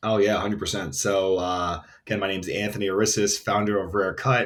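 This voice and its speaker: A man with an American accent talks at a very fast pace and a fairly low pitch. The recording is very clean, with a silent background. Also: fairly even intonation. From New York City (Queens). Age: 30s. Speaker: entrepreneur, brand founder. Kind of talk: interview. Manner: casual, filler-heavy.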